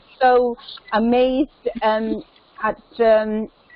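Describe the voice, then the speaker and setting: A woman with a London accent speaks at a fairly high pitch. Her intonation stays fairly even, with noticeable background noise. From London, England. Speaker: businesswoman and charity founder. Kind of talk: conference call introduction. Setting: online video call. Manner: halting.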